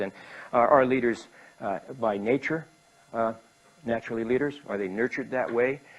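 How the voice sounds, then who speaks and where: With a Canadian accent and a plain, everyday voice, a man talks at a fairly quick pace, his medium pitch showing ordinary variation. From Canada, Winnipeg. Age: 60s. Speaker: business speaker. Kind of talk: talk to an audience. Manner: conversational, with filler words.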